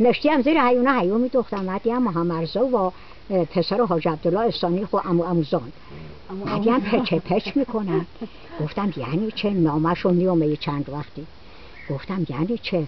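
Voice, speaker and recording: The speaker has a Hamadani accent and a moderate pace. Noticeable background noise can be heard. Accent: Toyserkani Persian dialect. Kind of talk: casual storytelling.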